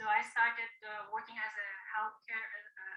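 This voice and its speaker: Over music in the background, a woman speaks in a fairly high pitch. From Philippines. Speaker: nurse. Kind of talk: testimony.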